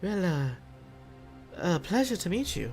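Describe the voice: A put-on character voice, breathy and at a middle pitch, moves at a moderate pace. Clear music plays in the background.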